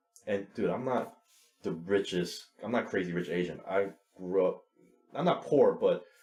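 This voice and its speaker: Music plays behind a man's voice. He pauses often and at length. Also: moderate pace. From New York City (Woodside, Queens), Chinese immigrant family. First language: Chinese (Cantonese, Toisan). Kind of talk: podcast interview. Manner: blunt.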